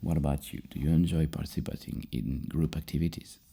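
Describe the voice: Speaking fast, a man with an extremely low voice carries a dark, mellow tone, a slightly husky edge and vocal fry, his intonation fairly even.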